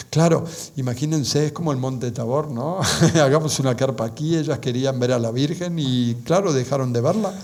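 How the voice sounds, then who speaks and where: Amid noticeable background noise and audible room echo, a man speaks at a moderate pace and medium pitch with ordinary pitch variation. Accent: Argentine. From Argentina. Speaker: lecturer on religious apparitions. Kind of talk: lecture. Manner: halting, many fillers and restarts.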